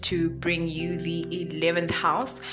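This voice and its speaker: A woman's fairly low-pitched voice with music in the background. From South Africa. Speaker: astrology podcast host. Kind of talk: casual talk to camera.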